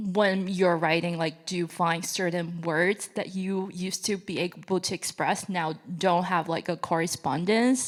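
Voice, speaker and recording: On a very clean recording with a silent background, a woman with a Chinese accent speaks at a fairly low pitch with fairly even intonation. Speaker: audience member asking a question. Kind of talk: audience question. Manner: hesitant, many fillers.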